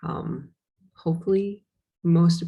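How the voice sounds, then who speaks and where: This woman has an American accent and a fairly low pitch. Her tone is dark and mellow, and somewhat breathy. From US Midwest, Wisconsin. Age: 30s. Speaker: podcast host, manager and mother. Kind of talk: casual monologue. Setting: recording alone on Zoom. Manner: hesitant, many fillers. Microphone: work laptop on Zoom.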